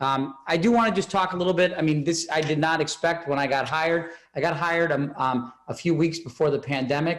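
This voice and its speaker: A man speaks at a fairly quick pace with hardly any pauses, his fairly high pitch showing ordinary variation and his loudness very even. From Massachusetts (Norfolk). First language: Spanish. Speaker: school superintendent. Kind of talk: public meeting presentation. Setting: video call. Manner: halting, many fillers.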